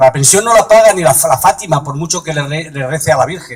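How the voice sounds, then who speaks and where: Noticeable background noise sits behind a man whose speech moves at a fairly quick pace. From Madrid, Spain. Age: 70s. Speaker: political activist. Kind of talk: political speech. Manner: halting.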